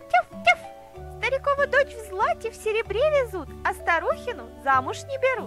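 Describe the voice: Putting on a character voice, a woman speaks at an extremely high pitch with a fairly bright tone, big pitch swings and a moderate pace, while faint music plays in the background.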